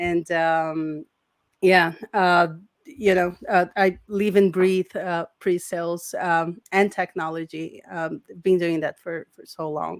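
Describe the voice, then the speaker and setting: A woman with a Portuguese accent speaks very slowly at a fairly low pitch, in a flat monotone. Her loudness swings widely, and the sound is dry and close with no echo. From Brazil. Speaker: sales engineer. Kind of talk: interview. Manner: halting, many fillers.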